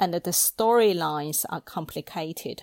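Recorded dry and close with no echo, a woman with a Chinese accent speaks on a very clean recording with a silent background. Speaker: library podcast presenter. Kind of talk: scripted talk on books.

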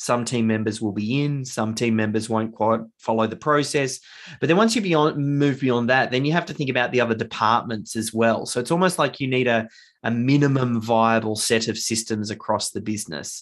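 A man with an Australian accent at medium pitch, with ordinary pitch variation and a fairly quick pace, over a quiet background. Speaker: author and business founder. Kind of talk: casual interview.

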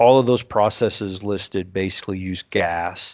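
A man speaks with a Texan accent. His pitch is fairly low and his pace fairly slow. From South Texas. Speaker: welding engineer and podcast co-host. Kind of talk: technical discussion. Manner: halting, many fillers.

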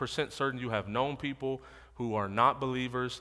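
A man with an American accent speaks at a fairly quick pace with medium pitch and ordinary pitch variation. His tone is bright and sharp, on a very clean recording with a silent background. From Odessa, Texas. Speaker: lay preacher. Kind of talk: sermon. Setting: church with congregation. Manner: interactive call-and-response.

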